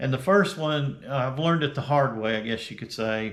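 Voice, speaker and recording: A man with an American accent at a moderate pace. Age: 60s. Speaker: retired YouTuber. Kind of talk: casual vlog talk. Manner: halting, many fillers.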